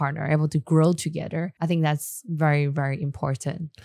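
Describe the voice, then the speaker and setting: A woman speaks with a Chinese accent at a very deep, low pitch. Her pace is moderate and her intonation fairly even. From Taiwan, Taipei. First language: Mandarin Chinese. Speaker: entrepreneur. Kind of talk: casual chat. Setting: studio.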